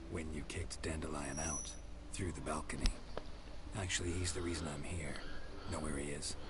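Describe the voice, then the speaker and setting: Over loud background noise, a man puts on a character voice with a very deep, low pitch and a fairly quick pace. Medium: machinima. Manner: terse, deadpan.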